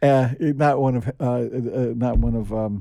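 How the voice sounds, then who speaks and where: A man with a New York accent, dark and mellow in tone, with ordinary pitch variation in a very clean recording with a silent background. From US Northeast, New York City (Queens). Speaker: podcast co-host, writer. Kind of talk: casual chat. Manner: halting.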